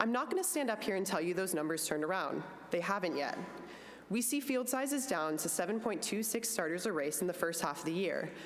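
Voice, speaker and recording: Lively intonation at a fairly quick pace, with audible room echo. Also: woman. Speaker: industry executive giving a speech. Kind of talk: conference speech. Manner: fast.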